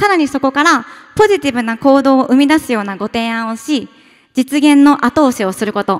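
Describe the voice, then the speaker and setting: A woman speaks at a high pitch and a fairly quick pace with lively intonation. The background is quiet. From Tokyo, Japan. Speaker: startup founder. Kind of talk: pitch presentation. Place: hall. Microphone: podium.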